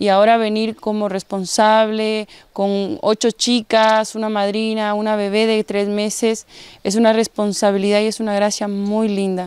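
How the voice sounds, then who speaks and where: A woman's medium-pitched voice comes through with a dry sound and no echo. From Guatemala. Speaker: rehab community leader. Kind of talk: testimony. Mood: earnest, grateful faith testimony. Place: garden. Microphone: handheld.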